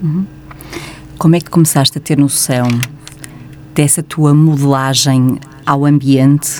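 A woman's very deep, low voice in a European Portuguese accent, monotone and flat, at a fairly slow pace with long, frequent pauses and noticeable background noise. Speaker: radio host. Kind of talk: radio interview. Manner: formal.

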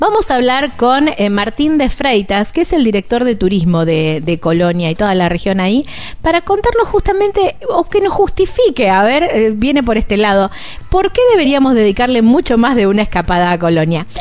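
Over noticeable background noise, a woman speaks at a moderate pace in a high voice with very wide pitch swings and very even loudness. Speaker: travel podcast host. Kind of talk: interview.

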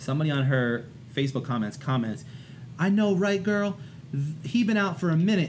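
A man speaks at a fairly quick pace in a fairly high, somewhat breathy voice with lively intonation. His loudness stays very even, and room echo is audible. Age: 30s. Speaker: art teacher. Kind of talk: casual chat.

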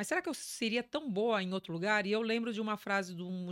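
A woman speaks at a very fast pace with fairly even intonation. The recording is very clean and dry, close with no echo, over a silent background. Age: 50s. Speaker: business executive. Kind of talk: interview.

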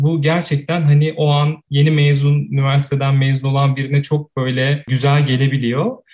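A man speaks with monotone, flat intonation. His fairly high voice is somewhat breathy. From Turkey, Ankara. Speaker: photographer. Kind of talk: casual interview.

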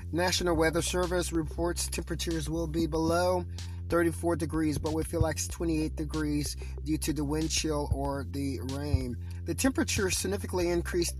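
There is music in the background. A man with a very deep, low pitch speaks with ordinary pitch variation. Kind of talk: traffic and news report read aloud as a solo morning broadcast. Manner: formal, even and methodical, reading out data and repeating phrases.

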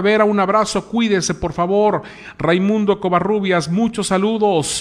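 A man's high-pitched voice at a fairly slow pace. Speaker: online news host. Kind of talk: live stream chat, reading viewer comments. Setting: news studio set.

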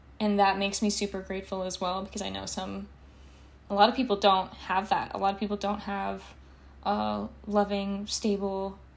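A woman's medium-pitched voice, monotone and flat at a moderate pace, with big swings in loudness and long, frequent pauses. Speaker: podcast host. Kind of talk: casual monologue. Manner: casual, rambling with fillers.

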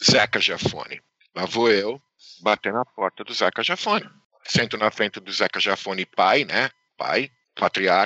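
This man talks at a fairly slow pace, with a fairly low pitch and ordinary pitch variation. Long pauses come often. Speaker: karting entrepreneur who brought indoor karting to Brazil. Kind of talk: interview.

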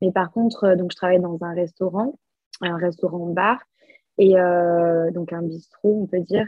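The speaker uses a plain, everyday voice with fairly even intonation at a fairly slow pace. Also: woman, fairly low pitch for a woman. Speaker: exchange student, podcast co-host. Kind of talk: casual chat.

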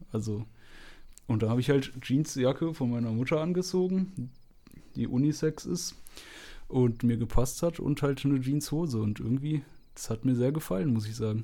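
At a moderate pace with long, frequent pauses, a man speaks at medium pitch in a dark, mellow tone. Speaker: podcast co-host. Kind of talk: casual chat. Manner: monotone.

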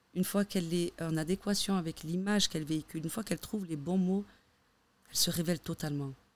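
Talking at a very fast pace, a woman keeps her fairly low voice in fairly even intonation. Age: 30s. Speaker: stylist. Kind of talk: casual chat.

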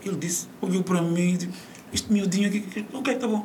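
Audible room echo surrounds a man with a fairly high pitch who speaks at a moderate pace. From Mozambique. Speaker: media presenter and voice-over artist. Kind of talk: interview. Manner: animated; halting.

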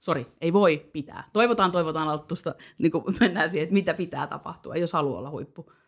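A woman with a normal speaking voice talks at a fairly quick pace and fairly low pitch. Her pitch varies normally while her loudness swings widely. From Finland, Parkano (Pirkanmaa). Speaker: podcast host. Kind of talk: casual chat.

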